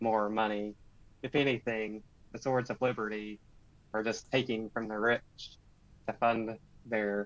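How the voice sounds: Fairly even intonation in a natural reading voice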